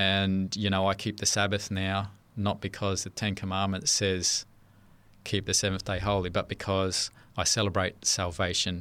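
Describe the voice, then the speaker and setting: Speaking at a moderate pace, a man with an Australian accent has a bright, sharp tone and a fairly low pitch, his intonation monotone and flat, in a very clean recording with a silent background. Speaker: church member sharing life story. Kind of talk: testimony. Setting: studio. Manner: hesitant, many fillers.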